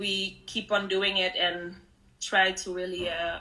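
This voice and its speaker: A woman with a Dutch accent and a bright, sharp tone. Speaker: artist. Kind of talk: panel interview. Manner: halting.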